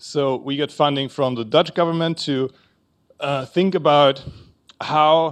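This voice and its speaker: A man talks with a German accent and fairly even intonation. He leaves long, frequent pauses. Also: fairly high pitch for a man. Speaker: researcher. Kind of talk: conference talk. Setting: conference panel with audience. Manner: halting, many fillers.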